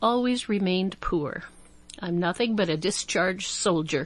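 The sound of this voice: The voice reads in an unforced way.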